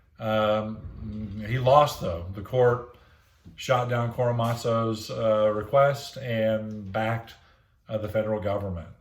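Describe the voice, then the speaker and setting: Very slowly and with fairly even intonation, a man speaks amid audible room echo. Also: medium pitch for a man. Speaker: teacher. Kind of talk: lecture. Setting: recorded lesson for online classroom. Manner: hesitant, many fillers.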